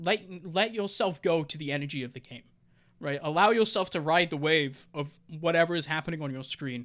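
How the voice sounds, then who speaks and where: On a very clean recording with a silent background, a man speaks at a high pitch with ordinary pitch variation. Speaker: esports caster. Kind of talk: tutorial. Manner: fast when excited.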